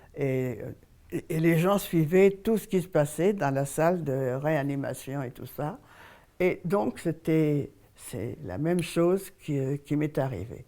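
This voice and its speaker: With a dark, mellow tone and a very deep, low pitch, a woman speaks very slowly yet with lively intonation. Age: 80s+. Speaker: elderly woman telling her life story. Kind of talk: testimony.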